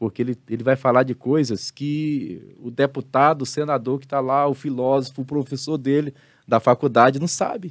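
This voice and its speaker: A man's medium-pitched, ordinary speaking voice at a moderate pace, with fairly even intonation and a dry, close sound lacking echo. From Brazil, Salvador, Bahia. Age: 50s. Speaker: pastor and theology teacher. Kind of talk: casual interview on a live stream.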